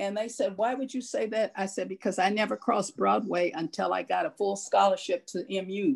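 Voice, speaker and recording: A woman with an American accent and vocal fry speaks at a medium pitch and a fairly quick pace. Her pitch variation is ordinary, and there are hardly any pauses. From US Midwest (Columbia, Missouri). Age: 70s. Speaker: local heritage committee member. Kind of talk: Q&A after a public talk. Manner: blunt, outspoken.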